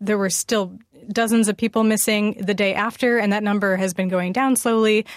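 A woman's unremarkable speaking voice at a medium pitch, fairly quick in pace, with fairly even intonation. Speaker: radio news director. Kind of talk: news interview. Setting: remote link from another city.

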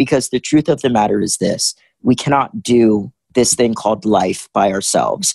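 Using a normal speaking voice with an American accent, a man of medium pitch talks at a moderate pace with ordinary pitch variation. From US South, Richmond, Virginia. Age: 20s. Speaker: motivational speaker and activist. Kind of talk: interview.

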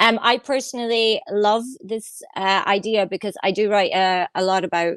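Recorded very cleanly with a silent background and a dry, close sound with no echo, a woman with a Scottish accent talks at a moderate pace with ordinary pitch variation. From Scotland. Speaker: guest co-host, tech writer. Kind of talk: casual chat.

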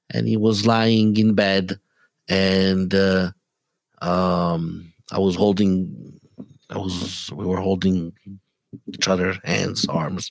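Very slowly and with long, frequent pauses, a man with a very deep, low pitch speaks with ordinary pitch variation. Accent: Italian. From Italy. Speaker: rabbi. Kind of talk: interview. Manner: halting.

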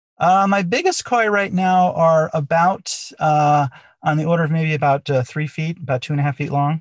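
A man keeps a moderate pace and ordinary pitch variation as he talks. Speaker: company founder and CTO. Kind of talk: interview, conversational.

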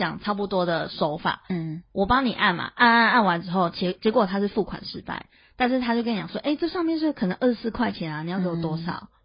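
A woman, somewhat breathy, with lively intonation at a fairly quick pace. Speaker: podcast co-host. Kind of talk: casual chat.

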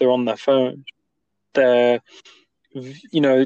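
A man speaks with an East Midlands accent. His pitch is fairly high. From Nottingham, English Midlands. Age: 20s. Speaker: podcast host. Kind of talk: casual chat. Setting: remote call. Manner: halting.

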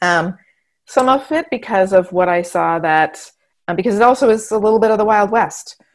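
A normal speaking voice with an American accent, moderate pace, and lively intonation. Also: woman, medium pitch for a woman. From Montana, rural eastern plains. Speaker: management and agile consultant. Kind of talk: interview.

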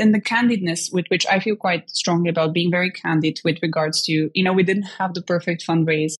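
Somewhat breathy, a woman talks in a fairly low pitch with an Eastern European accent. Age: 20s.

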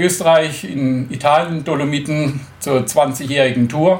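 A man with a fairly high pitch speaks amid noticeable background noise and audible room echo. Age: 50s. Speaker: motorcycle tour organizer with a stoma. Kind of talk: interview.

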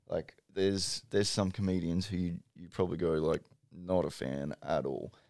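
Speaking in an Australian accent, a man has a very deep, low pitch. His tone is dark and mellow. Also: fairly even intonation, moderate pace. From Brisbane, Australia. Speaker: comedian. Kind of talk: casual chat.

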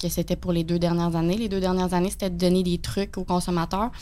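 The speaker is a woman with a fairly low pitch. Her intonation is monotone and flat. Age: 20s. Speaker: personal finance TV host. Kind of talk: casual chat.

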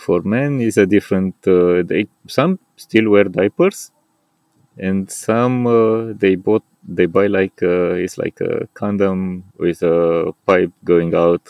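A man talks at a very slow pace in a fairly low pitch. His intonation stays fairly even. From Romania. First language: Romanian. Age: 40s. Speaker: paraglider and outdoor enthusiast. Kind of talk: interview. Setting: outdoors at a paragliding landing site. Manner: hesitant, with frequent fillers.

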